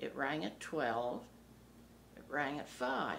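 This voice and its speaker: A woman with an American accent at a very slow pace, with audible room echo. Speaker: local resident interviewee. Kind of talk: oral history interview.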